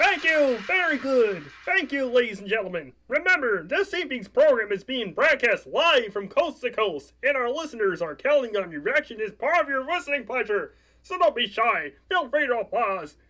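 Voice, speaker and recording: A man's put-on character voice, extremely high in pitch, with hardly any pauses. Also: moderate pace. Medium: audio drama. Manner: eager, showman-like.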